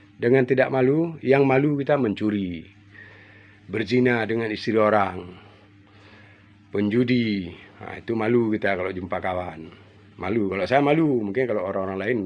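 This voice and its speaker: A man with a normal speaking voice, ordinary pitch variation and a fairly quick pace. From Aceh, Indonesia. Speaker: furniture maker. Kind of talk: casual monologue.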